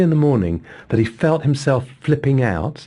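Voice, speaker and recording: Speaking with an English accent, a man sounds somewhat breathy as he moves at a fairly quick pace. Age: 60s. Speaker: psychotherapist. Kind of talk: interview.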